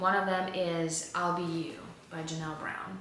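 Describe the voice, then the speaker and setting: At a fairly slow pace, a woman with a fairly low pitch speaks in fairly even intonation over noticeable background noise and audible room echo. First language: not English. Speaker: booktuber. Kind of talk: casual book haul vlog.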